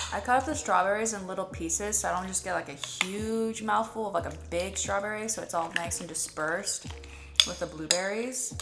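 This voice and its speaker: A woman speaks at a fairly quick pace in a relaxed tone, with audible room echo and noticeable background noise. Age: 20s. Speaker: lifestyle vlogger. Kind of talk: casual vlog narration. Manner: casual, relaxed.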